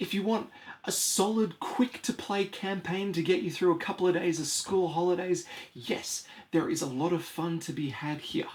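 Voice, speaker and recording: The man's voice sits high in pitch. It varies in pitch an ordinary amount. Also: moderate pace. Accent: Australian. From Australia. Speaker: board game reviewer. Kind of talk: product review. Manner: animated.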